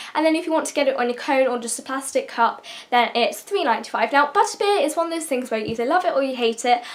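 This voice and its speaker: A woman speaks very fast with a British accent. Her pitch is high and her intonation lively. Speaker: YouTuber. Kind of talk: casual vlog advice talk.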